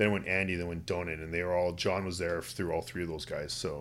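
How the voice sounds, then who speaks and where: In a western Canadian accent, a man talks at a very fast pace with a very deep, low pitch and fairly even intonation. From Canada, West Kootenays, British Columbia. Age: 40s. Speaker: university volleyball coach. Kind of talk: casual chat.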